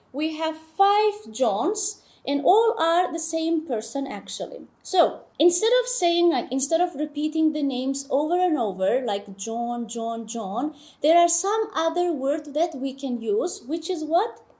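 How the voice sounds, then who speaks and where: High-pitched woman's voice with a dark, mellow tone and very wide pitch swings, at a fairly slow pace with hardly any pauses, on a very clean recording with a silent background. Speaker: English teacher. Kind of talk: tutorial.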